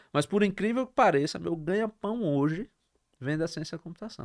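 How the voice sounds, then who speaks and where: A high-pitched man with lively intonation, at a moderate pace, against a quiet background. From Brazil, Sergipe (interior town, then Aracaju); Sergipe, Brazil. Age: 40s. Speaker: entrepreneur; podcast guest. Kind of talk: interview. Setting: studio. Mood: animated, laughing at times. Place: studio. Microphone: studio mic.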